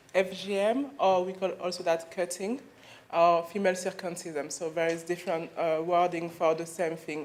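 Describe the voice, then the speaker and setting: A woman with a French accent speaks at a medium pitch. Audible room echo surrounds her voice. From Mali, raised in France. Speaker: clinic founder, FGM campaigner. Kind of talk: conference talk. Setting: conference stage with audience. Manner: hesitant, many fillers.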